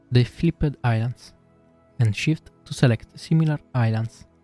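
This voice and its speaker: A man's medium-pitched voice with an Italian accent, dry and close with no echo, over music in the background. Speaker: 3D artist / software tutorial maker. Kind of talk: software tutorial narration.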